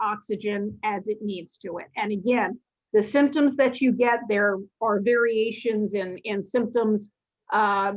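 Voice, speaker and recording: Her pitch is fairly high for a woman. She speaks at a very slow pace. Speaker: lecturer on cardiology. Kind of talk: lecture.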